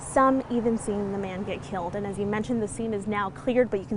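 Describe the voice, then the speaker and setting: A woman talks at a fairly quick pace with ordinary pitch variation. There is noticeable background noise. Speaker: TV news reporter and anchor. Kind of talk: live TV news field report. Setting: outdoors on location.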